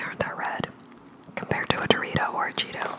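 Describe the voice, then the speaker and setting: A woman's whisper at a very fast pace. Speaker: ASMR food reviewer. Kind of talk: ASMR food review, casual talk to camera. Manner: whispering. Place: home room. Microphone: studio mic.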